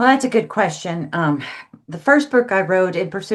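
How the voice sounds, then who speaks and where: This woman has an ordinary speaking voice, medium in pitch, with lively intonation. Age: 60s. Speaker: counselor and author. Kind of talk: podcast interview.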